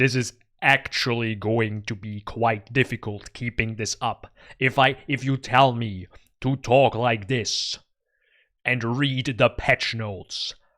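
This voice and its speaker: Using a strained, put-on character voice at medium pitch, a man speaks at a fairly slow pace with a dry, close sound and no echo. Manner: epic trailer-style narration.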